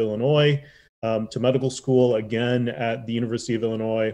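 Intonation stays monotone and flat. The man speaks with an American accent. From Chicago south suburbs. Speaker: public health doctor. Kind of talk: interview. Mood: warm, grateful. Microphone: webcam.

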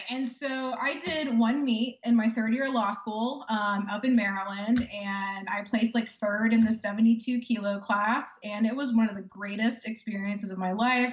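A somewhat breathy woman talks at a moderate pace, with audible room echo and light background noise. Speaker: remote podcast guest. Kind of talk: interview answer. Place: home room. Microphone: video call.

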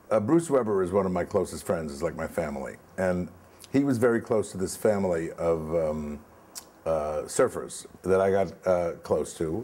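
A man with a New York accent speaks in a very deep, low voice at a fairly slow pace, with lively intonation. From New York (Brooklyn, Far Rockaway). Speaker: film producer; guest. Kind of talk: interview. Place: home room.

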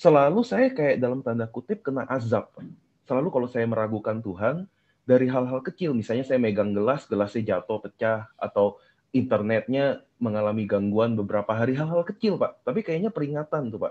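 Talking at a fairly quick pace, a man keeps to a medium pitch. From Indonesia. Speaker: caller sharing personal testimony; guest. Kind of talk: testimony; interview answer. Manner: halting. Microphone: video call.

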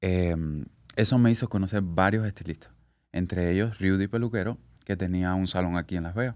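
A man speaks fairly quickly in a very deep, low voice. His intonation is fairly even, and the background is quiet. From Cuba, Havana; Cuba. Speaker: hairstylist; podcast guest. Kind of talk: casual interview. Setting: studio. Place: studio. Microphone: studio mic.

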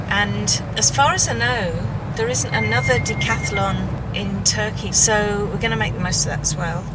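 Amid loud background noise, a woman talks at a fairly slow pace. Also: dry sound with no echo. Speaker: sailing vlogger. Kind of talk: casual vlog chat. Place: car. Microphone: phone near.

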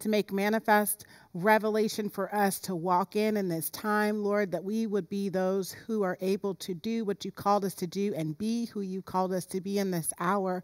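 With hardly any pauses, a woman talks at a moderate pace and fairly even intonation over a quiet background. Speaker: pastor. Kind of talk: sermon. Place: church.

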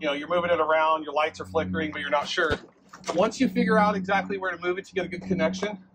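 Through noticeable background noise, a man talks very fast at a high pitch with fairly even intonation. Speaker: fleet trainer. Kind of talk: tutorial. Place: street. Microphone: camera far.

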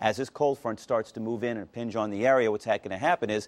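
A man at a very fast pace, with ordinary pitch variation. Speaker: TV presenter. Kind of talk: weather forecast presentation. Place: studio.

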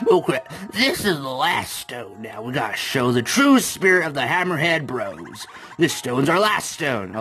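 In a put-on character voice, a man with a fairly high pitch speaks at a moderate pace, with very wide pitch swings and big swings in loudness, over clear background noise.

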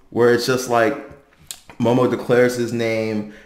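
A man is heard with audible room echo around his voice. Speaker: anime commentator. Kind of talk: commentary. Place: home room.

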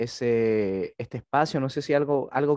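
A man talks with a dark, mellow tone and ordinary pitch variation. The background is quiet and the sound is dry with no echo. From Chile. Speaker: seminary lecturer. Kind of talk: lecture. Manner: halting, frequent fillers and repetitions. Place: home room. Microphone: headset.

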